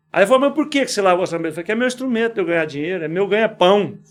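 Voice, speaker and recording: Lively intonation and a very fast pace mark this speech, with music in the background. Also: man. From Goiás, Brazil (Quirinópolis, rural). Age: 60s. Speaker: business owner. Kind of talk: podcast interview. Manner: informal, conversational.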